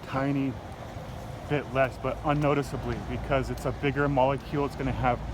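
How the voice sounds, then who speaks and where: Fairly high-pitched man at a moderate pace, with noticeable background noise. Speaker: science teacher. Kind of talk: casual explanatory vlog. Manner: hesitant, many fillers.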